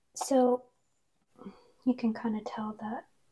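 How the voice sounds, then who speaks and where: A soft-spoken woman has a dark, mellow tone with vocal fry. Her intonation is monotone and flat, over a quiet background. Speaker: ASMR creator. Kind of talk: ASMR soft-spoken talk to camera. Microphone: lapel.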